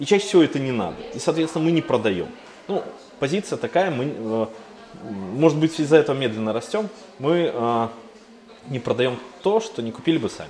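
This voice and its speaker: A man with a fairly high pitch and very wide pitch swings, talking at a fairly quick pace with long, frequent pauses, over noticeable background noise. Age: 30s. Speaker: agency founder and business angel. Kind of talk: interview.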